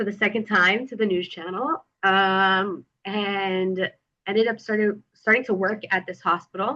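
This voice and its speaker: Speaking at a fairly slow pace, a woman with an American accent uses a medium pitch, ordinary pitch variation and a bright, sharp, animated tone. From US, central Florida. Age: 20s. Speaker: public relations worker, former journalist. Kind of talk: interview conversation.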